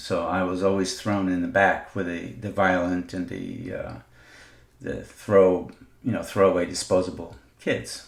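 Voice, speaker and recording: The speech comes at a moderate pace, with audible echo from the room. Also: man. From Israel, Jerusalem. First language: not English. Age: 50s. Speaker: podcaster. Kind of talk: personal monologue. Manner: halting, many fillers.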